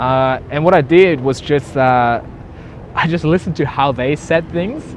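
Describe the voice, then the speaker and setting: Over noticeable background noise, a man with a fairly high pitch talks with a slight German accent. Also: ordinary pitch variation, moderate pace. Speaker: entrepreneur. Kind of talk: interview.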